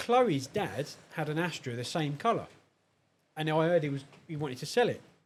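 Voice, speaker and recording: Speaking at a fairly quick pace, a man in a southern English accent leaves long, frequent pauses. His pitch is fairly high and his intonation lively. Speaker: car enthusiast. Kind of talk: casual chat.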